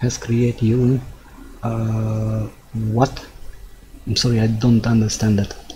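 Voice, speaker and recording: A man with a Hungarian accent at a very slow pace, medium in pitch, over noticeable background noise. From Hungary. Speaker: gaming streamer. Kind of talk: live gameplay commentary. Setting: live stream. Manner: halting.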